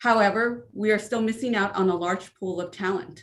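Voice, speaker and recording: A woman's unremarkable speaking voice in an American accent, medium-pitched, moderately paced, with ordinary pitch variation. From California. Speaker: school administrator. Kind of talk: prepared statement at board meeting. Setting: virtual school board meeting.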